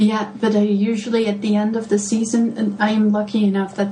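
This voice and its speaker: Speaking with a Dutch accent at a moderate pace, a woman with a medium pitch is heard over noticeable background noise and audible room echo. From Netherlands, Delft. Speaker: gardening blogger. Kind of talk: podcast interview. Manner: hesitant, many fillers.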